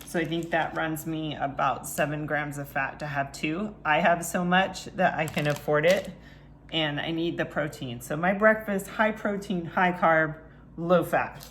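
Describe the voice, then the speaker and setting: A woman mumbles at a fairly slow pace with a fairly low pitch and audible room echo. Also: ordinary pitch variation. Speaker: fitness and nutrition coach. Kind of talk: cooking tutorial. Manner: mumbling; casual, conversational.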